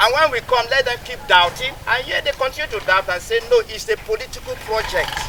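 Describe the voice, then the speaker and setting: A man speaks at a fairly quick pace with hardly any pauses. Noticeable background noise runs beneath him. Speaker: construction engineer. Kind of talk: public address to community.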